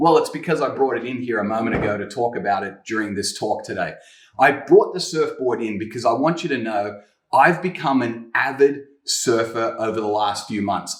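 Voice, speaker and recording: Audible room echo accompanies a man with an American accent speaking in an enthusiastic tone at medium pitch and moderate pace, with ordinary pitch variation. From Australia. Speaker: guest preacher. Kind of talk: sermon. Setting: home kitchen.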